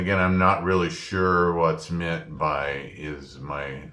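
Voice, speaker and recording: In a room with audible echo, a man speaks in a very deep, low pitch with a bright, sharp tone. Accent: Midland. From US Midwest. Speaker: former printing press operator, student. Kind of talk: spoken class assignment reflection. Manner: hesitant with frequent fillers.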